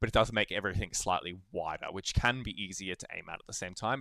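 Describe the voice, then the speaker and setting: In a very clean recording with a silent background, a man talks at a very fast pace with a fairly low pitch, a bright, sharp tone and ordinary pitch variation. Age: 30s. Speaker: video game coach. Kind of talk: coaching session. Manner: casual, many fillers.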